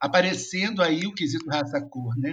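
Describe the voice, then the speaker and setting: Using a normal speaking voice, a man talks at a moderate pace at a fairly high pitch. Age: 50s. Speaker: social worker and professor. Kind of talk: interview.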